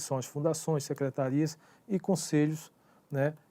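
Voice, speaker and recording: A man's fairly high-pitched voice with a dark, mellow tone at a fairly slow pace, in a very clean recording with a silent background. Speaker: online course instructor. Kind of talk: lecture. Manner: halting.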